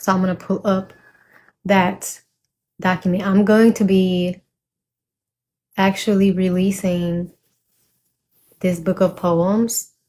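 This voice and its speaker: A woman talks very slowly, leaving long, frequent pauses. Her voice is somewhat breathy, dark and mellow, with flat, monotone intonation and very even loudness. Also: medium pitch for a woman. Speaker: poet and vlogger. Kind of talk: casual vlog chat with poetry reading.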